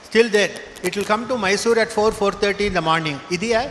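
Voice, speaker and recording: A high-pitched man at a fairly quick pace over noticeable background noise. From southern India, Karnataka. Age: 70s. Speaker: professor. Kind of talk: speech to graduating students.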